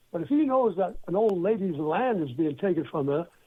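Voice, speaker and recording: Here a man speaks at a moderate pace. His pitch is high and his intonation lively. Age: 80s+. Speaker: storyteller guest, former music insider and priest. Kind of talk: interview.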